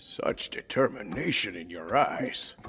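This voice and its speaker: A put-on character voice from a man, raspy and at a fairly slow pace. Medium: fan dub.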